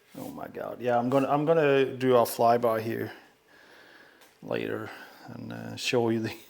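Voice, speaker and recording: The delivery has a moderate pace, long and frequent pauses, and big swings in loudness. Room echo is audible. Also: man. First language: not English. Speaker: pinball streamer. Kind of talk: live stream unboxing commentary. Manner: casual, halting with many fillers.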